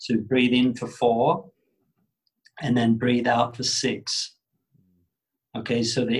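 A man with an Australian accent, monotone and flat in intonation, at a fairly slow pace. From Australia, Sydney. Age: 40s. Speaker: yoga teacher. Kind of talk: casual interview.

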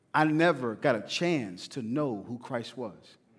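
A man with a Southern US accent, an animated tone, lively intonation and a fairly slow pace. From US South. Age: 30s. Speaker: pastor. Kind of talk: sermon. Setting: church.

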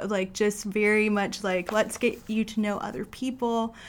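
A woman with an ordinary speaking voice at medium pitch talks at a fairly slow pace with fairly even intonation. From Canada. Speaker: church member. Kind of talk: testimony.

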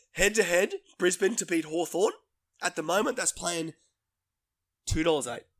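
This man has a high pitch and ordinary pitch variation, speaking at a moderate pace with long, frequent pauses. The sound is dry and close, with no echo. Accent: Australian. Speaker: sports podcast host. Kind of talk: casual sports chat. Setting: studio.

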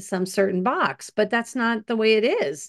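With a normal speaking voice, a woman talks at a moderate pace with ordinary pitch variation against a quiet background. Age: 50s. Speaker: podcast co-host. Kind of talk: casual chat. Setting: video call.

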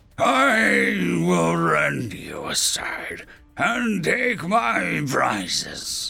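A raspy man puts on a character voice. He speaks at a very slow pace. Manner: menacing.

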